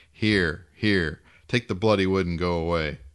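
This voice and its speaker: This man uses a put-on character voice. It sits very deep and low, delivered at a moderate pace. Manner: desperate, pleading.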